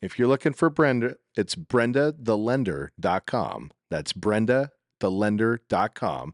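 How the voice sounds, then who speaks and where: At a fairly slow pace and medium pitch, a man with an unremarkable speaking voice uses lively intonation against a quiet background, the sound dry and close with no echo. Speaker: podcast host. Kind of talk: casual interview chat. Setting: filming at a title office, background noise.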